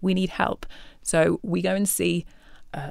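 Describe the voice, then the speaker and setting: The recording is very clean, with a silent background. The speaker has a Yorkshire accent. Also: woman. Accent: Northern English (Yorkshire). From England, Yorkshire. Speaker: guest sharing marriage testimony. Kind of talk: testimony.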